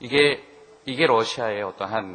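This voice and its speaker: A man speaks at a fairly slow pace with a medium pitch and lively intonation. There is noticeable background noise and audible room echo. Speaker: business consultant presenting at a seminar. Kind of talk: seminar presentation. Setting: seminar hall with audience. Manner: conversational, with fillers.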